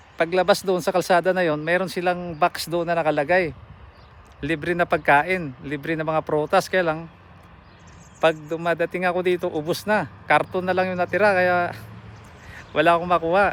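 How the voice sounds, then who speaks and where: Delivered at a moderate pace, the speech stays monotone with flat intonation. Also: man, high pitch for a man. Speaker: truck driver vlogger. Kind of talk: casual vlog tour narration. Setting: outdoors at a farm. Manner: halting.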